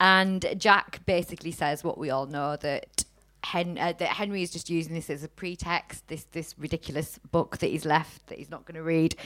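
A woman with a Teesside accent and a fairly low pitch, in a very clean recording with a silent background. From Teesside, north-east England. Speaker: podcast host. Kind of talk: casual chat. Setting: stage with audience.

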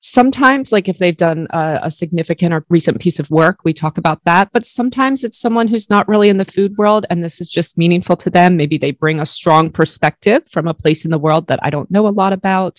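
This woman talks at a fairly quick pace in a fairly low pitch. The sound is dry and close, with no echo. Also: ordinary pitch variation, hardly any pauses. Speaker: food photographer and podcaster. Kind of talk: casual interview conversation. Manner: warm, passionate.

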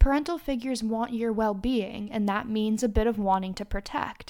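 Here is a woman with an ordinary speaking voice, pitched fairly high, with fairly even intonation at a moderate pace. The recording is very clean, with a silent background. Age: 30s. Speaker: podcast host and charity founder. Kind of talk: solo advice podcast monologue.

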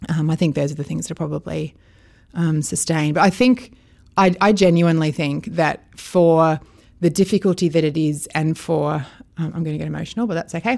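In a very clean recording with a silent background, a woman with an Australian accent talks at a fairly quick pace and a fairly low pitch. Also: ordinary pitch variation. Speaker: foster carer. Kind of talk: interview.

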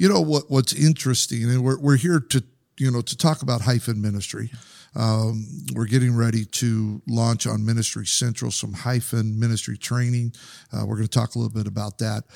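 With a plain, everyday voice at medium pitch, a man speaks at a fairly quick pace with ordinary pitch variation, the sound dry and close with no echo. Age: 50s. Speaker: podcast host and youth minister. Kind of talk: casual interview. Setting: studio.

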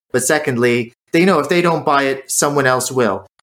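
Moving at a fairly quick pace, a man uses a normal speaking voice with ordinary pitch variation. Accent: American. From United States. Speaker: drinks maker and former chef. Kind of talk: interview.

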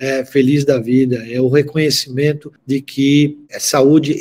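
A man talks with a dark, mellow tone and a fairly high pitch. His intonation stays fairly even. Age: 60s. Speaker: pharmaceutical industry executive. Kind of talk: interview.

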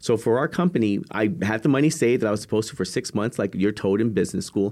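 Speaking at a fairly quick pace with lively intonation, a man with an American accent uses an ordinary speaking voice at medium pitch, recorded very cleanly against a silent background. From Texas, San Antonio. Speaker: motivational speaker, nonprofit leader. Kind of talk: interview.

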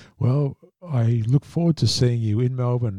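Somewhat breathy, a man speaks with a dark, mellow tone and fairly even intonation, the sound dry and close with no echo. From Australia. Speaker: podcast host, industry council executive. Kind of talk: interview.

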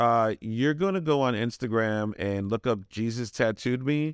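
This is a man with an American accent in an ordinary speaking voice. He uses medium pitch and ordinary pitch variation, and the sound is dry and close with no echo. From Brooklyn, New York. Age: 40s. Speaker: tattoo shop owner. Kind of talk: casual interview.

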